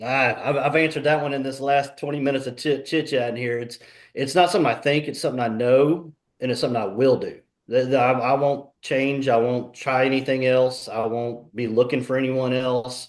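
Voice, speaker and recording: At a fairly quick pace, a man talks in an ordinary speaking voice, with medium pitch and fairly even intonation. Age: 40s. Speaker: fitness program client. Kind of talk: testimony. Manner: casual.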